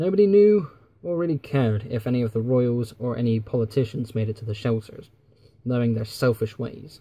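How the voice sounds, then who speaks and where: A man talks at a fairly quick pace in a medium-pitched voice with a dark, mellow tone. His delivery is somewhat breathy, and his intonation is lively. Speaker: YouTuber and fan fiction writer. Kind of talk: scripted narration.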